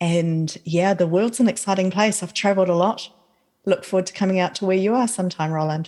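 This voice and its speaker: At a fairly quick pace, a woman with a New Zealand accent speaks in a dark, mellow tone. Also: medium pitch for a woman. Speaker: author and podcaster. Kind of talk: casual chat. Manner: animated.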